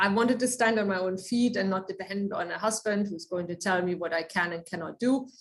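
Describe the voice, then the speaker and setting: Here a woman speaks with a German accent at a medium pitch. Her pace is fairly quick, with ordinary pitch variation. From Germany. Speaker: research engineer. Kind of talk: lecture.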